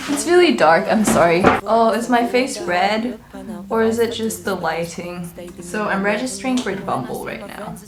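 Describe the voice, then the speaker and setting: Music plays in the background as a woman with a medium pitch speaks at a moderate pace with lively intonation in audible room echo. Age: 20s. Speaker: vlogger. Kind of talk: casual vlog talk. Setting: at home. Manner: hesitant.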